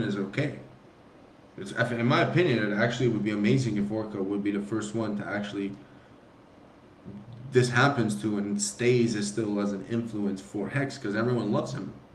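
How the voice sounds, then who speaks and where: A man talks at a fairly quick pace in a fairly low pitch. Audible room echo surrounds his voice. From immigrant to the US. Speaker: crypto community figure. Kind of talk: casual chat. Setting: live stream. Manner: halting.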